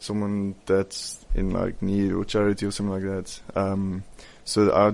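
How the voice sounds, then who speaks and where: Here a man talks at a moderate pace. His pitch is fairly low. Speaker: pageant contestant. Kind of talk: radio interview.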